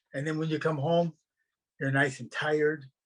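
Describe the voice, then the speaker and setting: A man's fairly high, somewhat breathy voice holds a monotone, flat intonation. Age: 80s+. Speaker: cycling club president. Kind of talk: panel discussion.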